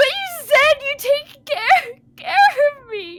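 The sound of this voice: Putting on a character voice, a woman speaks slowly at an extremely high pitch, her tone bright and sharp, with big pitch swings.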